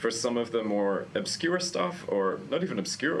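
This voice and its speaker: A man at a fairly slow pace, ordinary pitch variation, and noticeable background noise. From Australia, Queensland. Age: 30s. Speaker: journalist and film event host. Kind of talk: casual chat. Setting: arthouse cinema.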